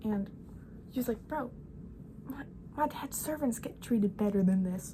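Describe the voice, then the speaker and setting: A woman speaks at a fairly high pitch. Noticeable background noise runs through the clip. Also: moderate pace. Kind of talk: casual Bible storytelling to camera.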